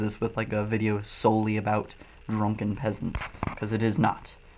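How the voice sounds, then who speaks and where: Noticeable noise sits in the background. The speech moves at a moderate pace. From US Midwest, Illinois. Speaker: livestreamer. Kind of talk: casual livestream chat.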